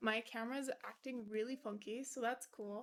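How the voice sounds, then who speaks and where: A woman's high-pitched, bright and sharp voice at a fairly slow pace, with ordinary pitch variation. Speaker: keyboard-building streamer. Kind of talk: casual live stream chat. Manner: casual, filler-heavy.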